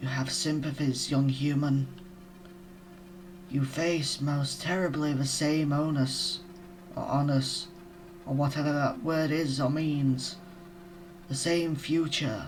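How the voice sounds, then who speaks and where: A man's put-on character voice, fairly high in pitch, at a fairly slow pace with long, frequent pauses over clear background noise. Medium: game stream. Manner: slow, solemn.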